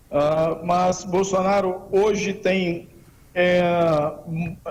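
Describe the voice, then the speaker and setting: High male speech with fairly even intonation. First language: Portuguese (speaking Spanish). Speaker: political campaign adviser. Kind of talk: radio interview. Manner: halting.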